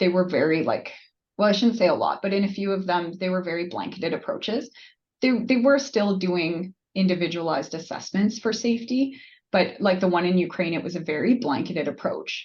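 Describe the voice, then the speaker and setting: A woman at medium pitch talks at a fairly quick pace, somewhat breathy, with lively intonation. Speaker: nurse practitioner presenter. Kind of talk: webinar Q&A.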